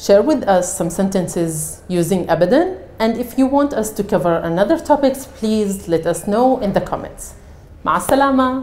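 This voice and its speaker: Lively intonation at a moderate pace. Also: woman, fairly high pitch for a woman. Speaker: Arabic teacher. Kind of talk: language lesson to camera. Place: studio. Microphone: lapel.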